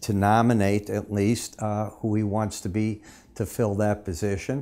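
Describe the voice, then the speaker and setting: Speaking with a fairly low pitch, a man has a dark, mellow tone. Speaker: market analyst. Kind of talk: market commentary. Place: studio.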